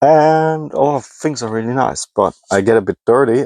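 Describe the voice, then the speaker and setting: A man speaks with a German accent. The recording is very clean and dry, with a silent background, a close sound and no echo. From Germany. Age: 20s. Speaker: hobby scrapper and YouTuber. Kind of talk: casual vlog monologue. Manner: halting.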